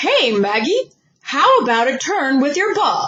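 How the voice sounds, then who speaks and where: In a put-on character voice, the speaker uses a high pitch with very wide pitch swings at a fairly slow pace. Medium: read story. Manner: huffy, cranky.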